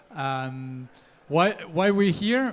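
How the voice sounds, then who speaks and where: A man's high-pitched voice with a non-native accent. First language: not English. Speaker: panel moderator; nonprofit co-founder and CEO. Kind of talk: panel discussion. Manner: hesitant, many fillers.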